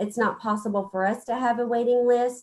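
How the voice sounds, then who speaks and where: A woman with a normal speaking voice and an American accent talks in a fairly high pitch with fairly even intonation. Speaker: public health official. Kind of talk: briefing to county court.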